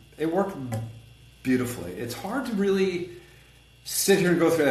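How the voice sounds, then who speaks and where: A man talks with lively, bouncing intonation. Noticeable background noise and audible room echo surround his voice. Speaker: collision repair business owner and consultant. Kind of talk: podcast interview. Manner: fast; animated.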